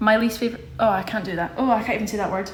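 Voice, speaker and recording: A woman speaks against noticeable background noise, her voice carrying audible room echo. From Scotland, Glasgow. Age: 20s. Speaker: livestreamer. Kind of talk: casual chat. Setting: social media livestream. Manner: animated.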